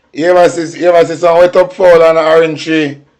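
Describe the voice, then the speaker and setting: A fairly quick pace in a Jamaican accent. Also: man. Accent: Jamaican Patois. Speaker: livestream commentator. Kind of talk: live commentary. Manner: animated.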